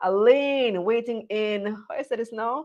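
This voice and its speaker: The woman's voice is fairly high-pitched and varies in an ordinary way. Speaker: business show host. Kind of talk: live business show interview. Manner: energetic.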